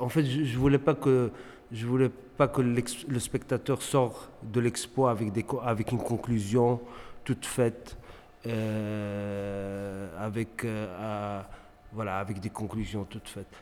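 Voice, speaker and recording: Very slow pace and fairly even intonation. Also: man, medium pitch for a man. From Morocco, Tangier. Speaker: visual artist. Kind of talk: interview. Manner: halting, many repetitions and fillers.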